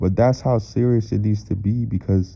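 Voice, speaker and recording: A man talks at a fairly low pitch. His pitch varies in an ordinary way. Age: 20s. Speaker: motivational speaker. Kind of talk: motivational monologue. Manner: loud; animated.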